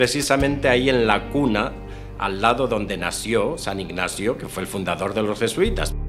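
With music playing behind him, a man speaks at a medium pitch with ordinary pitch variation. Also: moderate pace. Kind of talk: interview answer.

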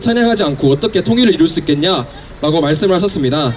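A man's lively intonation over light background noise. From South Korea. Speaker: university student speech contestant. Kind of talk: public speech. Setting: outdoors, park entrance with audience. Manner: halting, frequent self-corrections. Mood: earnest, steady. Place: street. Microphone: handheld.

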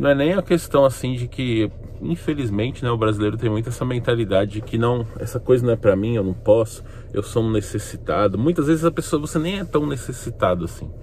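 Against noticeable background noise, a man speaks at a fairly quick pace and a medium pitch, with lively intonation. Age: 30s. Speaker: YouTuber. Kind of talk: casual vlog monologue. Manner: animated.

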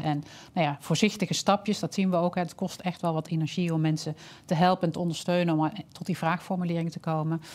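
At a very fast pace, a woman speaks in a fairly low pitch with monotone, flat intonation. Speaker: health scientist and social entrepreneur; guest. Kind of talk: webinar presentation. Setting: online webinar. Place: studio. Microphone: headset.

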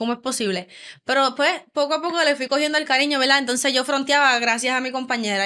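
A woman with a Puerto Rican accent speaks very fast in a raised, projected voice, high-pitched with a bright, sharp tone and ordinary pitch variation. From Puerto Rico, Barceloneta; Puerto Rico. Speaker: volleyball player; guest. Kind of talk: interview. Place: studio. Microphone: studio mic.

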